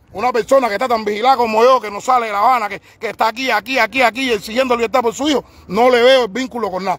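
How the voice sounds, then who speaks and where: With an extremely high pitch, a man speaks in fairly even intonation, and the sound is dry with no echo. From Cuba, Havana. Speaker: parent of a political prisoner, activist. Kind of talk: live-stream testimony and protest. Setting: live stream. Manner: halting, repetitive; emphatic. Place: street. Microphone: phone near.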